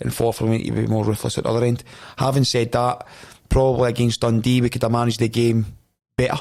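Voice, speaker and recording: A man with a Scottish accent speaks very fast at a medium pitch, his intonation flat and monotone. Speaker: football head coach. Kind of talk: podcast interview. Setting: podcast studio. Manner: intense, forceful.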